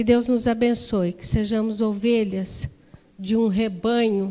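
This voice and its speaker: A woman's dark, mellow tone at a very slow pace, with audible room echo. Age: 60s. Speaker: women's ministry leader. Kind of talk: sermon. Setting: church.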